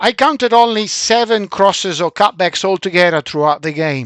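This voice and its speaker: A man's high voice with a Central European accent and lively intonation at a moderate pace, dry and close with no echo, in a very clean recording with a silent background. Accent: Middle European. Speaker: football coach. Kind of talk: video analysis for team. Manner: hesitant, with fillers.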